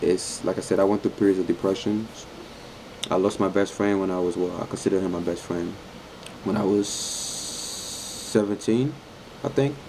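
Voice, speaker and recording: Over noticeable background noise, a man speaks at a fairly low pitch with long, frequent pauses. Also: ordinary pitch variation, moderate pace. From French-speaking country, moved to Harlem, New York at eleven. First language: French. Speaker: fitness vlogger. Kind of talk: casual vlog Q&A. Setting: laundromat. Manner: animated.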